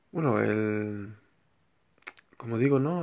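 This man speaks at a fairly slow pace, his medium-pitched voice showing ordinary pitch variation. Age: 30s. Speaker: spiritual healer podcaster. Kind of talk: solo spiritual talk. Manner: halting, many repetitions and fillers.

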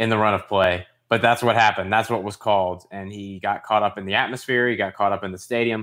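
A normal speaking voice from a man, fairly low in pitch with fairly even intonation, in a very clean recording with a silent background. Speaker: podcast co-host, football fan. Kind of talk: casual chat.

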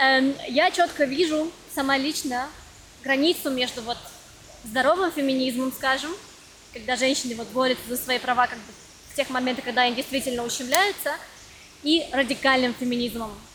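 A high-pitched woman at a moderate pace, with ordinary pitch variation, long frequent pauses, big swings in loudness and noticeable background noise. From Russia. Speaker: podcast host. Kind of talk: casual interview chat.

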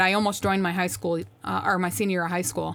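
There is a woman speaking on a very clean recording with a silent background. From upstate New York. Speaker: Air Force senior NCO. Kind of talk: casual interview.

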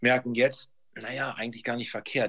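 Bright and sharp in tone, a man with a medium pitch talks at a moderate pace with ordinary pitch variation. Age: 50s. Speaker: real estate sales manager. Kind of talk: interview. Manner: halting, many fillers.

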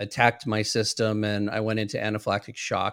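Here a man with an ordinary speaking voice talks at a moderate pace. His pitch runs fairly low on a very clean recording with a silent background. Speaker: therapist and trainer. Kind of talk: interview. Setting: live video show.

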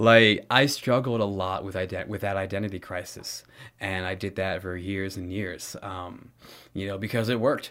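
A man's normal speaking voice with an American accent, fairly low in pitch with fairly even intonation, at a moderate pace, on a very clean recording with a silent background. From California. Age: 20s. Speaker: theater instructor. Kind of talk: interview.

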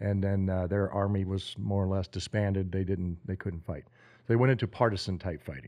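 A man's fairly low voice with an American accent, a plain, everyday voice, over a quiet background. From Oklahoma. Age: 50s. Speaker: army medic and Green Beret veteran. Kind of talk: interview storytelling. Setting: cabin in Montana.

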